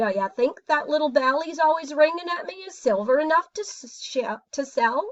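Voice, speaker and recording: A woman puts on a character voice, high-pitched, with very wide pitch swings and big swings in loudness. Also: moderate pace. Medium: read story.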